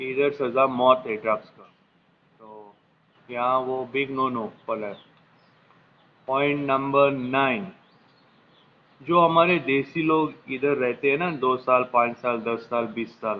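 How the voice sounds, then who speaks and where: A man speaks with long, frequent pauses and big swings in loudness. His pitch moves in an ordinary way. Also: medium pitch for a man. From Goa, India. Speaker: vlogger. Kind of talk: casual talk to camera, advice list. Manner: casual, slightly halting Hindi with English phrases.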